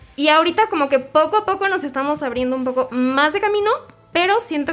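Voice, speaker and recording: Music plays behind a woman talking very fast with a Mexican accent. Her high voice makes very wide pitch swings. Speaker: guest from the music scene. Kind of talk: casual chat.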